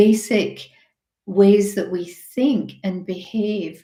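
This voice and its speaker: A woman at medium pitch, somewhat breathy, with fairly even intonation and a dark, mellow tone. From Scotland. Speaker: health and business coach. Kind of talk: webinar presentation. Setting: online webinar. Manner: hesitant, many fillers and repeated words.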